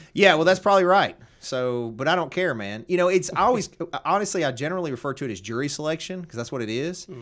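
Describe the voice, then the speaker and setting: Talking at a very fast pace, a man with a Southern US accent uses lively intonation and a fairly high pitch. The recording is very clean, its background silent. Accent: Southern American. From Tennessee.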